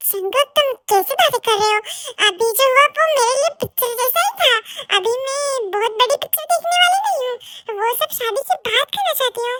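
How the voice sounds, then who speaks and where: This is a put-on character voice delivered at a fairly quick pace. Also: woman, extremely high pitch for a woman. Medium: audio drama. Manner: bashful, sweet.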